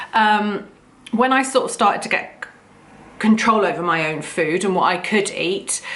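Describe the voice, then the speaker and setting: With a British accent, a woman talks at a moderate pace, and the room echo is audible. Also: medium pitch for a woman, ordinary pitch variation. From UK, rural farm upbringing. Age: 40s. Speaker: vlogger. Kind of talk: personal story monologue. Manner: loud; hesitant, many fillers.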